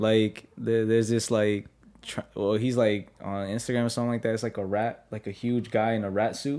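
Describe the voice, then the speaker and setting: With a New York accent, a man of medium pitch speaks at a moderate pace in a monotone, flat intonation. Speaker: podcast guest. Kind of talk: casual chat.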